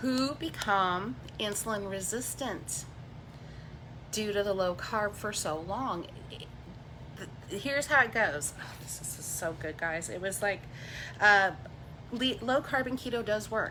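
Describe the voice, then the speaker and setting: Speaking at a fairly slow pace with long, frequent pauses, a woman sounds animated, her tone bright and sharp at a medium pitch. Her loudness swings widely, her intonation is lively, and room echo is audible. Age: 50s. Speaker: keto diet YouTuber. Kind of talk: livestream chat. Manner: rambling, animated.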